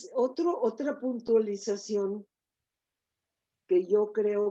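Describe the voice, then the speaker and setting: A woman speaks with a medium pitch and a dark, mellow tone. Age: 80s+. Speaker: feminist academic. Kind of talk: interview conversation.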